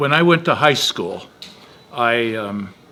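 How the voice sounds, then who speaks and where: Against noticeable background noise, a man speaks at a fairly slow pace. His pitch is fairly high and his intonation lively. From US Pacific Northwest, Bremerton, Washington. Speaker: author. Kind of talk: casual interview chat. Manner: halting.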